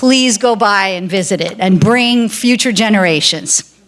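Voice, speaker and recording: At a fairly slow pace, a woman uses a normal speaking voice, fairly high in pitch with ordinary pitch variation. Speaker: activist and coalition organizer. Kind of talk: closing remarks at awards ceremony.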